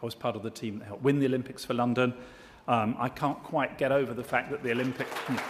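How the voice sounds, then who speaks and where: Talking at a very fast pace in a flat, monotone way, a man with a British accent is heard over crowd noise in the background. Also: medium pitch for a man. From Britain. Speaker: diplomat and business chairman, award presenter. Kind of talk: award ceremony speech. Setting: stage with audience. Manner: formal.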